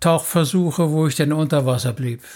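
A man's voice with ordinary pitch variation. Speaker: marine biologist. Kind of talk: interview.

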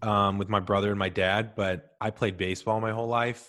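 In an American accent, a man with an ordinary speaking voice talks at a moderate pace, his pitch fairly low and his intonation fairly even. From US Midwest, St. Louis. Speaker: marketing expert and podcast host. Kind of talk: casual chat.

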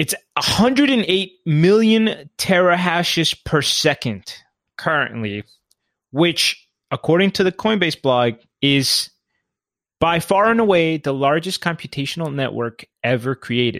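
At a fairly slow pace and with very wide pitch swings, this voice comes through a dry, close sound with no echo in a very clean recording with a silent background. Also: man, high pitch for a man. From Colombia. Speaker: crypto podcast co-host. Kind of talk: casual chat.

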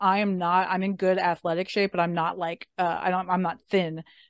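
A plain, everyday voice at a fairly quick pace, dry and close with no echo, against a quiet background. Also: woman. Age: 30s. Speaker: divorce lawyer. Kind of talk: casual chat. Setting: video call.

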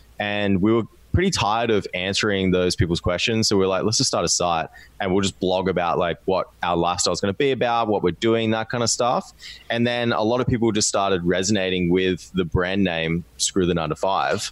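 A man's fairly low voice, fairly quick, with ordinary pitch variation and very even loudness. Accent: Australian. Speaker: podcast guest, online business co-founder. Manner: casual, conversational.

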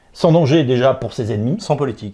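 A dark, mellow tone carries a somewhat breathy voice. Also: man. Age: 40s. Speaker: political commentator. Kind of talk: interview.

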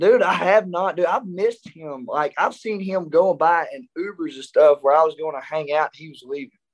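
A man with an Arkansas accent and a high pitch speaks at a moderate pace, with ordinary pitch variation and big swings in loudness. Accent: Southern US (Arkansas). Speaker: country singer. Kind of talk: casual chat.

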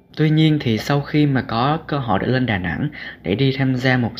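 This man uses a normal speaking voice, pitched at a medium level, and talks at a moderate pace. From southern Vietnam, Cà Mau. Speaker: podcast host, student blogger. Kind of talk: reading aloud own essay.

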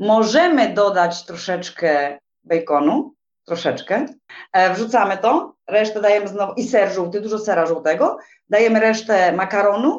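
An unremarkable speaking voice with lively intonation, at a moderate pace. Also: woman, medium pitch for a woman. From Poland, Silesia. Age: 40s. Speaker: tour guide. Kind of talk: casual interview chat.

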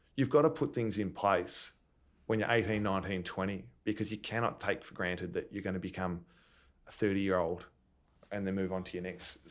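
A man with an Australian accent speaks at a fairly quick pace in a fairly low voice, with ordinary pitch variation and big swings in loudness. Long, frequent pauses break up his speech in a very clean recording with a silent background. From Melbourne, Australia. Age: 30s. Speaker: retired Australian rules footballer. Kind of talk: interview. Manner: hesitant, many fillers.

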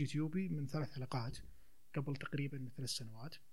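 A man speaks at a moderate pace in a somewhat breathy voice with a fairly high pitch and ordinary pitch variation. Audible room echo surrounds the voice. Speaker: theatre actor and children's theatre promoter. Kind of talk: casual chat.

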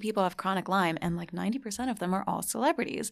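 A woman with an American accent has an unremarkable speaking voice, captured in a very clean recording with a silent background. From New Jersey. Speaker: blogger and podcaster on celebrity gossip. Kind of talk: casual chat.

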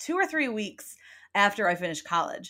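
A woman's bright, sharp tone with a Midwestern accent. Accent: sounds Midwestern. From upstate New York. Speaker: podcast host. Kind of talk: casual chat.

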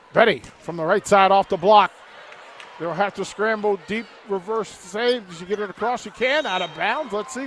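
Over music in the background, a man with a high pitch and ordinary pitch variation talks at a moderate pace, with big swings in loudness and long, frequent pauses. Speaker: radio play-by-play announcer. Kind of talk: live sports commentary, play-by-play. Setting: courtside in the arena, crowd present. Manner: enthusiastic, hype-builder.

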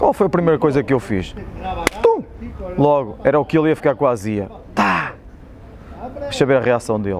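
A man talks at a fairly quick pace and fairly high pitch, with lively intonation and long, frequent pauses. Noticeable background noise runs underneath. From Portugal, Espinho. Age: 40s. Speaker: football club physio and former player. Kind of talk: casual interview chat. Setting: outdoors by old stadium ticket office.

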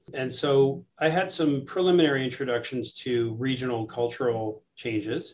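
This man has a normal speaking voice at medium pitch with fairly even intonation. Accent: American. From New York City. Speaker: surgeon and professor. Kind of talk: interview.

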